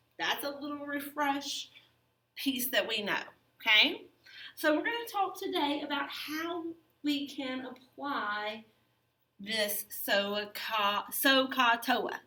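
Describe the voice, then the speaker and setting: A woman with a Southern US accent projects a raised, high voice with very wide pitch swings. She talks at a very slow pace with long, frequent pauses. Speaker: math teacher. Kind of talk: lecture. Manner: casual.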